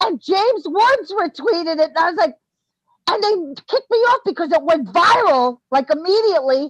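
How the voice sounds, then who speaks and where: In a Brooklyn accent, a woman speaks at an extremely high pitch with very wide pitch swings and very even loudness. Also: moderate pace, dry, close sound with no echo. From New York, Brooklyn. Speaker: former musician, online commentator. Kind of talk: casual interview chat. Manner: animated.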